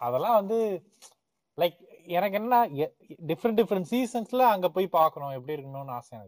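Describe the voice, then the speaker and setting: A man speaks at a high pitch with very wide pitch swings and big swings in loudness, the sound dry and close with no echo. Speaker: podcast host. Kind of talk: casual chat.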